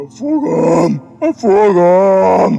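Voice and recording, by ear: A man puts on a character voice, high-pitched for a man, with a dark, mellow tone and vocal fry. His pitch swings widely while faint music plays in the background.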